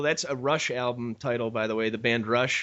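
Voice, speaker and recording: Here a man talks with a Chicago accent. His pace is moderate. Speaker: podcast host. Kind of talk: interview.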